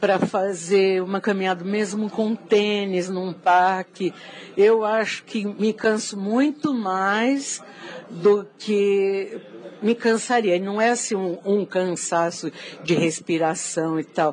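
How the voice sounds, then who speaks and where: Very slow speech from a woman at a medium pitch. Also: ordinary pitch variation. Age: 60s. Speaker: journalist. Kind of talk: testimony.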